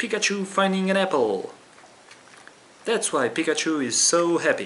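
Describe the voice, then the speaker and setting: This man's high-pitched voice has lively intonation, very even loudness and a moderate pace. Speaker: video creator. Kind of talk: tutorial. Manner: casual, self-deprecating.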